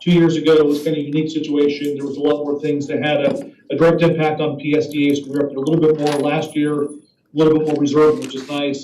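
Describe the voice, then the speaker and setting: A man rattles off words at a very fast pace in a monotone, flat delivery. His fairly high voice carries audible room echo. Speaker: government lobbyist. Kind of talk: committee meeting report.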